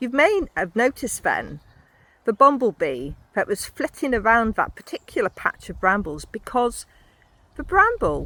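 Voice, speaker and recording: At a fairly slow pace, a woman speaks with a fairly high pitch, very wide pitch swings, a bright, sharp tone and vocal fry, in a dry, close sound with no echo. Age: 60s. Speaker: podcaster. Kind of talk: walking monologue.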